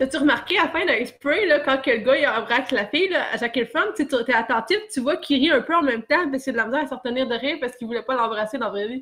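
The delivery is very fast, with hardly any pauses and lively intonation. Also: woman, high pitch for a woman. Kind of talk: casual chat.

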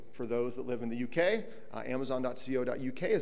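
A man at a moderate pace. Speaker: conference speaker, tech co-founder. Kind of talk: conference panel presentation. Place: hall.

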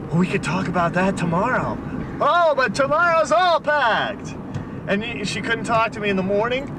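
Over noticeable background noise, a man talks at a moderate pace, the sound dry with no echo. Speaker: storyteller. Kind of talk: casual monologue in a car. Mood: exasperated, sarcastic. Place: car. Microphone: old recording.

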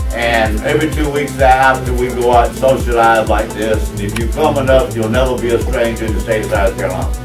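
A man speaks at a fairly quick pace, with clear music playing behind him. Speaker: speaker. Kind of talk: welcome speech to a crowd. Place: cafe. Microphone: camera far.

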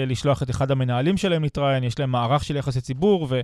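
Very clean and silent in the background, this recording has a man with an ordinary speaking voice at a medium pitch. He talks at a fairly quick pace with lively intonation. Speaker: radio host. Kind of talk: radio interview. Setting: studio.

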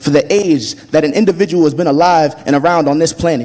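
A man speaks at a fairly high pitch in a slightly mellow tone.

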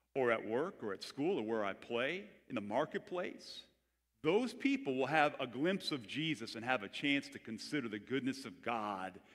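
With lively intonation and a moderate pace, a man talks while the background stays quiet. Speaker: pastor. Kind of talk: sermon. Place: church. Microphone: headset.

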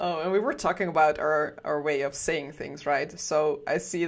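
A woman with a slight Dutch accent at a moderate pace, fairly even in intonation, over a quiet background. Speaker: game studio livestream host. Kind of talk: casual livestream chat. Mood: cheerful, chatty. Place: home room. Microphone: headset.

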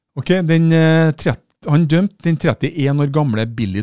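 Very slow and dark, mellow in tone, a man's voice moves through very wide pitch swings. The sound is dry with no echo against a quiet background. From Norway. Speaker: activist video commentator. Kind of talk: opinionated video monologue. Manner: animated, polemical. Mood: indignant, critical. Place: studio. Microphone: studio mic.

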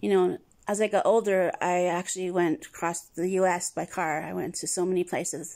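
Over a quiet background, a woman speaks with a fairly low pitch and fairly even intonation. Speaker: travel vlogger. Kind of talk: casual vlog chat. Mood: nostalgic, warm. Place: home room. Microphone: phone near.

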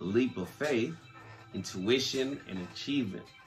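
A man talks at a fairly slow pace with ordinary pitch variation while faint music plays in the background. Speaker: podcast host. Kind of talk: podcast reading from sources. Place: home room.

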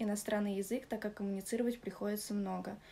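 It is an ordinary speaking voice with fairly even intonation. Light background noise can be heard. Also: woman. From Russia, Moscow region; Russia. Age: 20s. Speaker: club model and dancer. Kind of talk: testimonial. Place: home room. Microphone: phone near.

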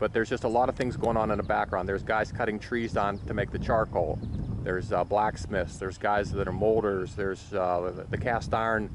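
Over noticeable background noise, a man talks at a fairly quick pace with fairly low pitch and fairly even intonation, the sound dry with no echo. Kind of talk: commentary. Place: open country. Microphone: phone near.

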